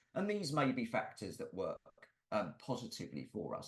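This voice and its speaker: A man with a London accent, lively intonation and a moderate pace. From London, England. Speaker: musculoskeletal therapist and presenter. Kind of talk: webinar lecture. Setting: online webinar.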